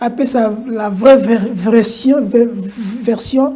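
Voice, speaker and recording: Noticeable background noise and audible room echo surround this recording. A woman speaks at a fairly high pitch with fairly even intonation. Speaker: TV talk show host. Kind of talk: political talk show.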